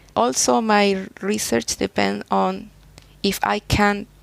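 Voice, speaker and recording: A woman with a Spanish accent has a very deep, low pitch and makes very wide pitch swings. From Chile. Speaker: soil scientist, professor. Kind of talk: interview. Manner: halting.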